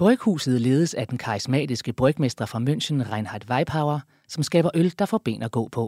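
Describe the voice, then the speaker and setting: An unremarkable speaking voice from a man, medium in pitch and fairly slow, in a very clean recording with a silent background and a dry, close sound with no echo. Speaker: narrator. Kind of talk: scripted narration.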